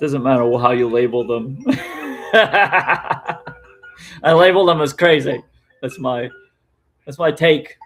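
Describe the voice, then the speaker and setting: Music plays in the background as a man speaks at a very slow pace, with long, frequent pauses. His pitch is fairly high. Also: ordinary pitch variation. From Louisiana, Cajun bayou country. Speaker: streamer. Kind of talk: casual chat. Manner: rambling, conversational.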